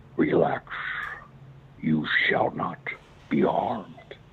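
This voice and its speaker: A man's put-on character voice, calm in tone and very slow in pace, with light background noise. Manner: calm, terrifying.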